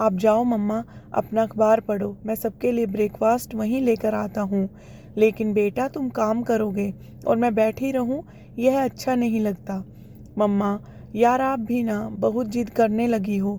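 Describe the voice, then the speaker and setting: Her dark, mellow tone sits at a fairly high pitch for a woman, with fairly even intonation. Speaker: storyteller narrator. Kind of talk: reading aloud a story.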